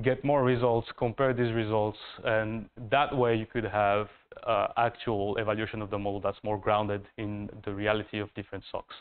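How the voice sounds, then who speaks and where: Delivered at a moderate pace, a man's fairly low voice stays in a monotone with flat intonation. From France. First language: French. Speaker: master's student; presenter. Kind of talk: thesis presentation. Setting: university room, live stream. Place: classroom.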